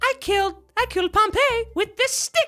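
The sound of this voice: A squeaky, put-on character voice moves at a moderate pace. Music plays in the background.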